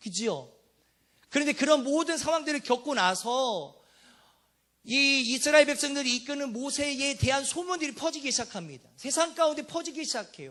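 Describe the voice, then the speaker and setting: A man talks at a moderate pace in an extremely high voice, raised and projected. His tone is bright, sharp and animated, with ordinary pitch variation. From Jeolla, South Korea. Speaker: preacher. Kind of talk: sermon. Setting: church.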